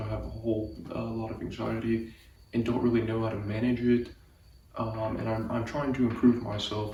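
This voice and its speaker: Soft-spoken and at a moderate pace, a man talks with fairly even intonation amid noticeable background noise and audible room echo. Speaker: vlogger. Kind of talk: personal storytelling monologue. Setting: garage at dad's house. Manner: soft-spoken, keeping voice low; halting, many fillers and repetitions.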